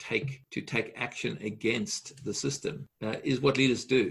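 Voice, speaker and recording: A man's bright, sharp voice with vocal fry, ordinary pitch variation and a moderate pace. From South Africa (Johannesburg). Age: 60s. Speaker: leadership coach and speaker. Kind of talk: podcast interview.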